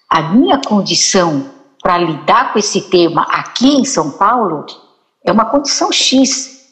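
A woman speaks at a medium pitch and a fairly slow pace. Her pitch swings very widely while her loudness stays very even. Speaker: psychologist, writer and teacher. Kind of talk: talk show conversation. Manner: quiet at times.

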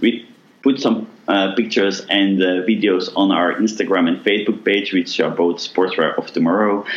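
A man speaks at a fairly low pitch and moderate pace, with fairly even intonation and very even loudness. Noticeable background noise runs underneath. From Belgium. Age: 30s. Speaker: apparel manufacturer CEO. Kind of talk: interview.

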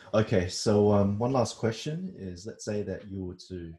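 A man's fairly low voice with a dark, mellow tone and a somewhat breathy quality. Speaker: podcast host. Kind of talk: interview. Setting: video call. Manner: casual, friendly.

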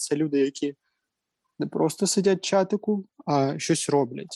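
At a moderate pace, a man talks with ordinary pitch variation in a dry, close sound with no echo. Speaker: student government head, guest. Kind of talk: casual interview. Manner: hesitant, many fillers. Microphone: sound problems.

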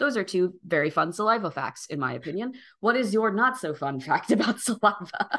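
A man with a high pitch raises and projects his voice at a fairly quick pace with lively intonation over a quiet background. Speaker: podcast co-host. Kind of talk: casual chat.

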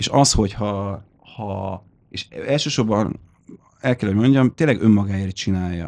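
A man's fairly low voice with ordinary pitch variation, a fairly slow pace and long, frequent pauses. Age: 30s. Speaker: musician, keyboard player in a metal band. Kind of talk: casual chat. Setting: studio.

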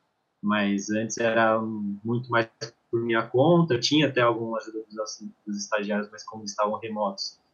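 At a moderate pace and medium pitch, a man with an unremarkable speaking voice uses fairly even intonation, with big swings in loudness. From São Paulo, Brazil. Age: 20s. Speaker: football performance analyst. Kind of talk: casual chat.

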